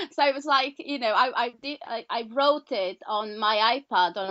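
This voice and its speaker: Speaking with a Portuguese accent, a woman uses ordinary pitch variation. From Portugal. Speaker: author and healer. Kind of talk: interview. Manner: halting, many repetitions.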